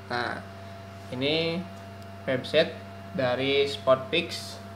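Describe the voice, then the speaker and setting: A man talks while noticeable noise sits behind him. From Indonesia, West Java (Ciamis). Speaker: crypto project reviewer, YouTuber. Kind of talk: screen-share tutorial review. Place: home room.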